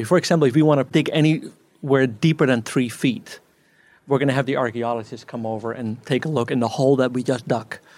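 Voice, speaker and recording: A man speaks at a fairly quick pace in a plain, everyday voice. His pitch is medium, with ordinary variation. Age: 50s. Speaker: farmer. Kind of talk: talk.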